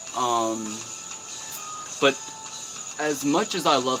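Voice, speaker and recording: With music in the background, a man's voice carries audible room echo. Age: 20s. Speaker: YouTuber and artist. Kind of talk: live stream Q&A. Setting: live stream. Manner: casual, profane.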